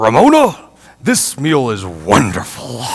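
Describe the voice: Booming and fairly slow, a man uses a put-on character voice at a medium pitch.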